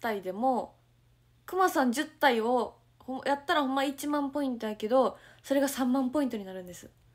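A woman's high, animated voice in a Kansai accent, with lively intonation, big swings in loudness and a moderate pace, over a quiet background. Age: 20s. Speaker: idol livestreamer. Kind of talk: casual livestream chat reading viewer comments. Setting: at home, morning livestream. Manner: animated, frequent laughter. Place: home room. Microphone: phone near.

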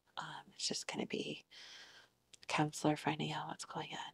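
A woman whispers in a soothing, gentle tone. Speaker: ASMR roleplay student therapist. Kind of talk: ASMR roleplay, soft whispered therapy session. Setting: video, roleplay session with listener as the patient. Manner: soft-spoken, soothing, gentle and reassuring, with repeated praise. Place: home room.

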